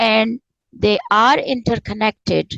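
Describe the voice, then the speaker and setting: A woman with a Pakistani accent, in a dry, close sound with no echo. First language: Urdu. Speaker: spiritual author and former professor. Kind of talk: interview conversation. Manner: halting.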